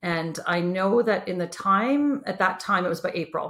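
Speaking at a moderate pace with a Canadian accent, a woman uses an unremarkable speaking voice of medium pitch and ordinary pitch variation. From Kitchener-Waterloo, Ontario, Canada. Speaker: entrepreneur. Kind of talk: casual interview.

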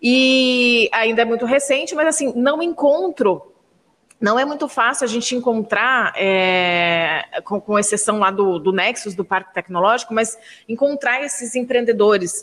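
A woman's fairly high voice at a fairly slow pace, lively in intonation, a normal speaking voice. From Brazil, São José dos Campos area, family from Minas Gerais. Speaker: podcast co-host, journalist. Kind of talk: podcast interview.

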